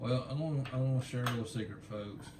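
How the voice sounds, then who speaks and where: With audible room echo, a man talks at a moderate pace and medium pitch. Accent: slight Southern US. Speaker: craft video co-host. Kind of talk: casual chat.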